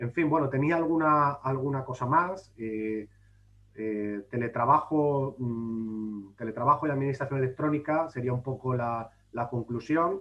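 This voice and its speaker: A man at medium pitch with ordinary pitch variation and an unremarkable speaking voice, at a fairly slow pace. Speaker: public administration official and speaker. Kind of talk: conference talk. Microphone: brief connection drop.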